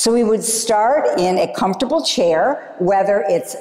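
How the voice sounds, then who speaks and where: A woman with an American accent and lively intonation at a fairly slow pace, over noticeable background noise. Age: 60s. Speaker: yoga teacher. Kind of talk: yoga class instruction. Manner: calm, gentle.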